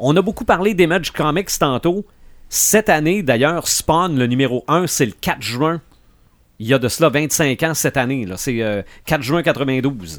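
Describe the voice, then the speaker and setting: Speaking fairly slowly, a man with a normal speaking voice uses lively intonation at a fairly high pitch. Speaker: podcast host. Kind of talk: casual chat.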